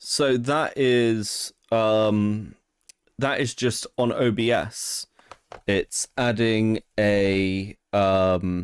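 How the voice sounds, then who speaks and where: A British accent with ordinary pitch variation, in a dry, close sound with no echo. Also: man. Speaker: streamer. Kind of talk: casual chat. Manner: prim and proper.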